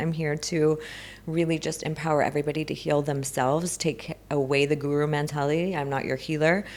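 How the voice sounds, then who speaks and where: A woman talks at a fairly quick pace with a Southern California accent. Her voice is very deep and low. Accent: American Valley girl. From US, Los Angeles. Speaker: spiritual healing coach. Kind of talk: podcast interview.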